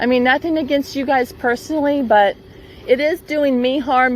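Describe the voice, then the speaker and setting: A woman's voice over noticeable background noise. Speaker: property owner vlogging a utility dispute. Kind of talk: casual vlog talking to camera. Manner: loud, raised voice.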